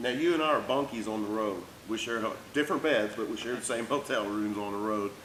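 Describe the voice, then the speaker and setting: Audible room echo on a man's fairly quick speech. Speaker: race team crew member interviewer. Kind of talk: casual interview. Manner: fast.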